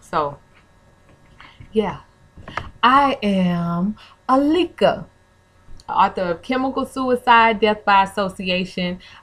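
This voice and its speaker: A woman's medium-pitched voice with a Southern accent and lively intonation, at a very slow pace with long, frequent pauses. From New Orleans. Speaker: vlogger, author and former hip hop artist. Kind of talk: casual vlog monologue. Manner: casual, chatty.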